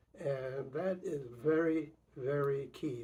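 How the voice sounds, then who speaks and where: Somewhat breathy and fairly high-pitched, a man speaks with ordinary pitch variation. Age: 80s+. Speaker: retired professor being interviewed by grandson. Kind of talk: family oral history interview. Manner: halting, many fillers and repetitions.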